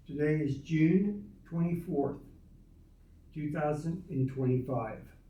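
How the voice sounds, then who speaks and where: Speaking at a very slow pace, a man has a fairly high, somewhat breathy voice with a dark, mellow tone and ordinary pitch variation. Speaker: interviewer.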